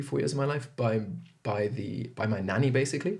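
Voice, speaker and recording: Vocal fry colors this man's speech, delivered at a fairly quick pace. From Zimbabwe and Zambia. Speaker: podcast guest. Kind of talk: casual interview chat.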